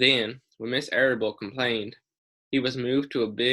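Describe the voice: Here is plain reading aloud. The intonation is fairly even over a quiet background.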